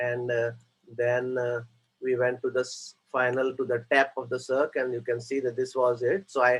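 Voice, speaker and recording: This man's voice sits at a medium pitch and is somewhat breathy. His intonation is monotone and flat. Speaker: interventional cardiologist. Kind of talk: case presentation. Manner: hesitant, many fillers; fast.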